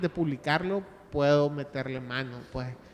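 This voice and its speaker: A man speaks at a fairly slow pace with a fairly high pitch and ordinary pitch variation over noticeable background noise. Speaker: podcaster. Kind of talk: panel discussion. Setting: stage with audience. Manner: halting.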